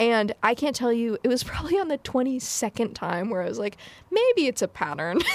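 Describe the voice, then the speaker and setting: The voice has an American accent and very wide pitch swings. The sound is dry and close, with no echo. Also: woman, fairly high pitch for a woman, moderate pace. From US. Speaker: video game developer. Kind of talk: casual chat.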